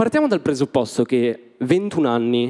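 A man's voice, dark and mellow in tone, sits over a quiet backdrop. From Italy. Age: 20s. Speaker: stand-up comedian. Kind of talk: stand-up. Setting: stage with audience. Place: stage. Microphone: handheld.

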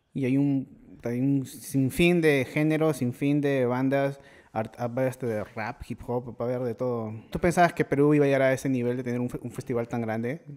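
Fairly even in intonation, a man with an unremarkable speaking voice talks at a medium pitch and a moderate pace. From Peru. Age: 30s. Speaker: podcast host. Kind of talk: casual chat; sponsor read. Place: studio. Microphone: studio mic.

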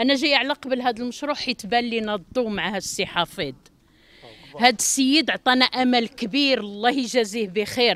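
A woman talks at a high pitch and a moderate pace, with ordinary pitch variation. The sound is dry, with no echo. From Morocco. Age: 50s. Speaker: apartment buyer. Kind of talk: street interview. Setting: outdoors at construction site. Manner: emotional pleading. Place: street.

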